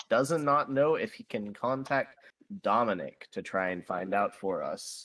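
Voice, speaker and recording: A man talks with an American accent, his pitch shifting in a normal way. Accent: slight southern US accent, masked on calls. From US South. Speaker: tabletop role-playing game player. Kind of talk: casual chat. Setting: voice call.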